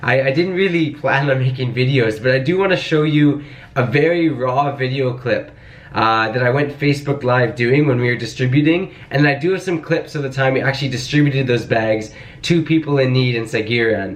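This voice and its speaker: A man at medium pitch with ordinary pitch variation and a fairly quick pace, with noticeable background noise and audible room echo. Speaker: vlogger and volunteer relief organizer. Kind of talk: casual vlog narration. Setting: indoors at night while packing relief bags. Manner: quiet, soft-spoken; animated.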